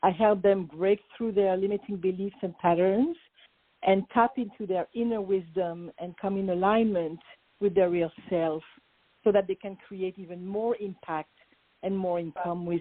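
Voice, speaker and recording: A woman speaks with a French accent at a fairly slow pace. Her intonation stays fairly even. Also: medium pitch for a woman. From France, Paris. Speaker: business coach. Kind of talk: interview.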